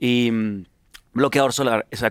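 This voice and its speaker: This man talks at a fairly quick pace. He has a Venezuelan accent. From Venezuela, Caracas. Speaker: singer-songwriter. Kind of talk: casual chat. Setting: studio.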